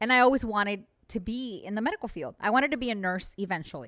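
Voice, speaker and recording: A woman speaks at a very fast pace with lively intonation and a fairly high pitch. The recording is very clean, with a silent background. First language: bilingual Spanish and English. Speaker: real estate agent, former medical worker. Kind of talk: casual chat.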